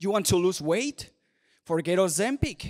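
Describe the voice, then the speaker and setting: Recorded very cleanly against a silent background, a man with a Spanish accent talks fairly slowly in a high voice, the sound dry and close with no echo. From Venezuela. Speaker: commentator. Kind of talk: speech. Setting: stage with audience.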